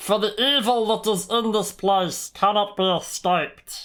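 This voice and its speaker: This is a put-on character voice, squeaky and fairly high-pitched. It moves at a moderate pace. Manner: gloating, menacing.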